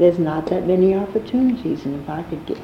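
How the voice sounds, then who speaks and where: A woman with an American accent and ordinary pitch variation, with audible room echo and noticeable background noise. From New York City, Harlem. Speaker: jazz singer and actress. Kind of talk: oral history interview.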